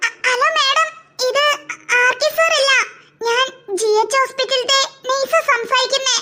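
The voice is cartoonish, with ordinary pitch variation and a moderate pace. Its loudness stays very even. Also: woman, extremely high pitch for a woman. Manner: hesitant, polite.

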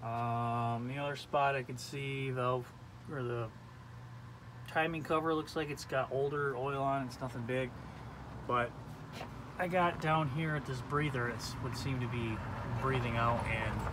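Noticeable background noise sits behind a man who talks at a fairly slow pace with fairly even intonation and long, frequent pauses. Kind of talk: casual vlog chat. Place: street. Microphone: phone near.

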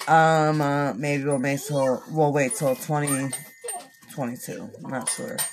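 A woman with a very deep, low pitch speaks at a fairly slow pace over light background noise. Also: ordinary pitch variation. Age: 30s. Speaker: beauty vlogger and makeup seller; beauty vlogger, makeup seller. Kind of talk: makeup tutorial livestream. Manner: casual chatty. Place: home room. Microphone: phone near.

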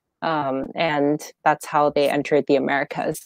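At a fairly slow pace, a woman speaks with a very deep, low pitch, the sound dry with no echo and the background quiet. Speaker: guest, educator. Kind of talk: interview answer. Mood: friendly, occasionally laughing. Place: home room. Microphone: earbuds.

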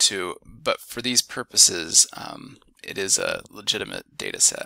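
This is a man's voice in a very clean recording with a silent background. The sound is dry and close, with no echo. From US Midwest, Ohio. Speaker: instructor. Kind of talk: tutorial. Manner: halting, many fillers.

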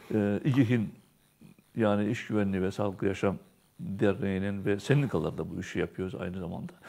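With a dark, mellow tone and a fairly low pitch, a man talks at a fairly quick pace with ordinary pitch variation. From Turkey. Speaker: TV show host. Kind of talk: casual chat. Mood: earnest, concerned. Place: studio. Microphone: lapel.

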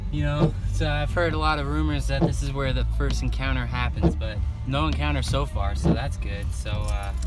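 Loud music plays in the background. The voice sounds dry with no echo and moves at a moderate pace. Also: man, ordinary pitch variation. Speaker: amateur vlogger. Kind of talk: casual vlog chat.

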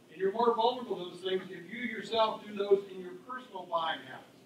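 At a moderate pace and with fairly even intonation, a man speaks amid light background noise and audible room echo. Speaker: panelist sales coach. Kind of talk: panel talk to audience. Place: meeting room.

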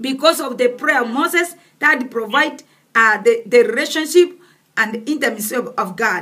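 At a moderate pace, a woman speaks in a raised, projected voice with a high pitch and lively intonation. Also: quiet background. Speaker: preacher. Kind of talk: sermon. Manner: halting. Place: home room. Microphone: phone near.

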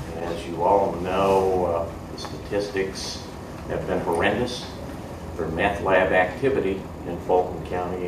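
A man speaks with a very deep, low pitch and monotone, flat intonation. His pace is fairly slow, with noticeable background noise. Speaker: city council president. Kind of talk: formal meeting. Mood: proud, formal. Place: meeting room. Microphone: podium.

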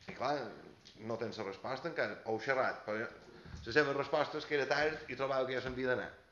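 Light background noise and audible room echo surround a man's voice. He speaks at a very fast pace with fairly even intonation. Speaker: opposition councillor. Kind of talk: heated municipal council debate. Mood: critical, somewhat ironic. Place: hall. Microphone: camera far.

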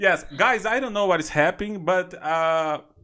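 In a Brazilian accent, a man speaks with a high pitch, lively intonation and a bright, sharp tone over a quiet background. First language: Portuguese. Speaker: YouTuber and English learner; YouTuber. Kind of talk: casual chat. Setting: video call. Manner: excitable.

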